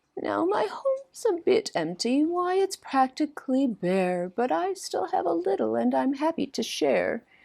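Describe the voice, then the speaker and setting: This is a put-on character voice that sounds female. The pitch is high. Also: moderate pace. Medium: read story. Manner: gentle, warm.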